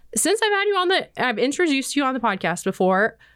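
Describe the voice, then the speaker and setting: A woman with an American accent, noticeable background noise behind her. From Nebraska. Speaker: extension podcast host. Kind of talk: casual interview.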